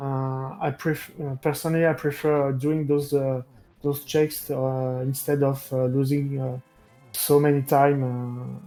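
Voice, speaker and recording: Music plays behind a man with a non-native accent and a fairly high pitch. He talks at a fairly slow pace in a monotone, flat delivery, with big swings in loudness. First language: not English. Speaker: esports racer. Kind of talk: post-match interview. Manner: halting.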